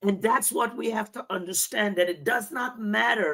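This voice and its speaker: With an American accent, a woman speaks in a bright, sharp tone at medium pitch, with vocal fry. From North Carolina, Rocky Mount. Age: 60s. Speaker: vision coach, show host. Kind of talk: interview.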